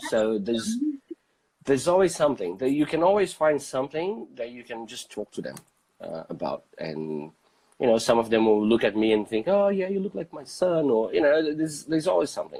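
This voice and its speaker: A man with a non-native accent, fairly high-pitched, swinging very widely in pitch at a fairly quick pace. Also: big swings in loudness. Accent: foreign. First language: not English. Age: 30s. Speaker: photographer. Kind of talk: casual chat. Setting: live video stream. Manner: halting, many fillers.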